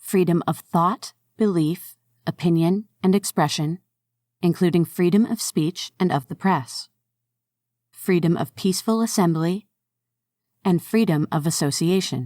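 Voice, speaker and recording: In a very clean recording with a silent background and a dry, close sound with no echo, a woman speaks at a fairly slow pace with long, frequent pauses. Her voice is fairly low with a dark, mellow tone and ordinary pitch variation. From Canada. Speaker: narrator. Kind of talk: reading aloud.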